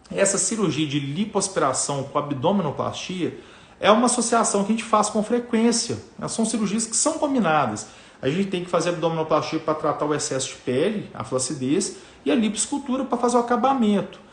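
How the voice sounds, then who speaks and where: In a room with audible echo, a man speaks at a fairly quick pace. His high voice swings very widely in pitch. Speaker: plastic surgeon. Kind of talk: live stream talk to viewers. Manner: fast; casual, filler-heavy.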